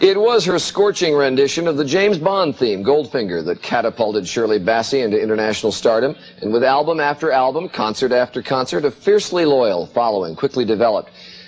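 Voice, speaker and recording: At a medium pitch, a man talks very fast with hardly any pauses. His pitch swings very widely. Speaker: TV morning show host. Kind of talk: TV interview.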